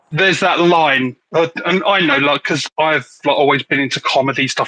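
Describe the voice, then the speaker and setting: With an English accent, a man speaks at a moderate pace in a bright, sharp tone, his pitch varying in an ordinary way and the sound dry and close with no echo. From England, Hertfordshire. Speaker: slingshot youtuber. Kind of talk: casual chat.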